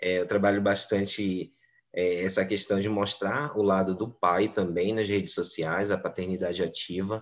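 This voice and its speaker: A man with a normal speaking voice, fairly low pitch and a fairly slow pace, against a quiet background. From Brazil, Belém (Pará). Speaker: English teacher. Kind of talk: interview.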